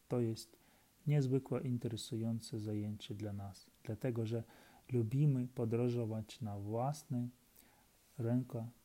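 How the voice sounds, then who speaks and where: Speaking very slowly, a man has a Ukrainian accent and a dark, mellow tone. His medium pitch keeps fairly even intonation. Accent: Ukrainian accent in Polish. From Ukraine. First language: Ukrainian (speaking Polish). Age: 30s. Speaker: Polish language learner. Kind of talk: reading aloud. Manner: halting.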